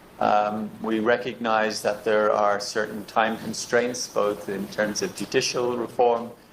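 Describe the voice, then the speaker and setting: Noticeable background noise sits behind a man's medium-pitched voice. He talks at a fairly slow pace in a monotone, flat delivery. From Ireland. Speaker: election observation mission leader. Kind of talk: formal meeting address. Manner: formal, with frequent hesitations.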